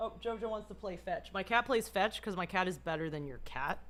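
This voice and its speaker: A woman with a medium-pitched voice talks at a moderate pace. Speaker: live streamer. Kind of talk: casual chat. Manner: halting.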